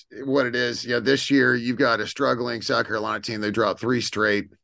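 A man with an American accent, medium-pitched, bright and sharp with vocal fry, talking at a fairly quick pace against a quiet background. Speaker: podcast host. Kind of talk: casual chat.

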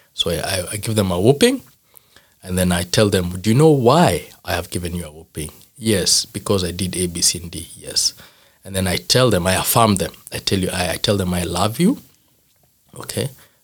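A man with a Kenyan accent, very deep and low in pitch, with ordinary pitch variation. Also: moderate pace. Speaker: father and former youth pastor. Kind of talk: casual interview chat.

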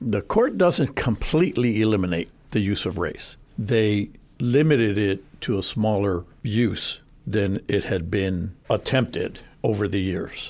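A man with a normal speaking voice talks at a fairly slow pace in a fairly low pitch. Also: ordinary pitch variation. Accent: American. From San Antonio, Texas (South Side). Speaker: attorney. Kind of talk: radio interview. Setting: radio studio.

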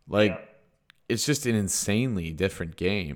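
In a Canadian accent, a man with a plain, everyday voice talks at a moderate pace with lively intonation and fairly low pitch, on a very clean recording with a silent background. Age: 20s. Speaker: podcast host. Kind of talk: casual chat.

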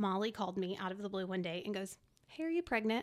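A woman with an American accent talks at a fairly quick pace in an ordinary speaking voice, at medium pitch with ordinary pitch variation, in a very clean recording with a silent background. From Texas, Dallas area. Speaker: nonprofit ministry volunteer. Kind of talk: testimony.

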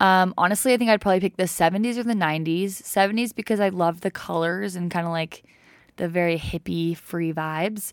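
A woman with an American accent and an unremarkable speaking voice, medium in pitch, with fairly even intonation, on a very clean recording with a silent background. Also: fairly quick pace. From Utah. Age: 20s. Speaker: podcaster. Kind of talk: casual monologue. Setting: home recording.

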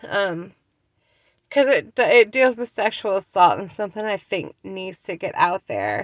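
Using a plain, everyday voice with an American accent, a woman speaks at a fairly slow pace and medium pitch, with ordinary pitch variation and big swings in loudness, in a dry, close sound with no echo. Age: 30s. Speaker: podcast host, mother and small business owner. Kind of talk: unscripted casual monologue. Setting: in a car. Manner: spontaneous, with many fillers and restarts.

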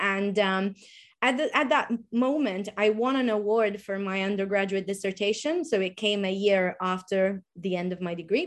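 At a moderate pace, a woman talks with an Italian accent. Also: medium pitch for a woman, ordinary pitch variation, quiet background. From Sardinia, Italy. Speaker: pole dance instructor and activist. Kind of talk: casual interview chat.

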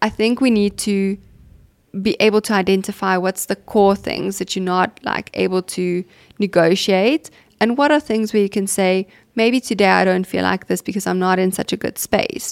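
An ordinary speaking voice moves at a moderate pace with fairly even intonation, captured in a very clean recording with a silent background. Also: woman, medium pitch for a woman, dry, close sound with no echo. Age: 30s. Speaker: clinical psychologist, podcast host. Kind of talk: casual interview.

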